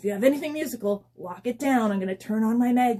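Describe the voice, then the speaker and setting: Putting on a character voice, a woman races along very fast at a fairly high pitch, her loudness swinging widely. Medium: read story. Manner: upbeat, friendly.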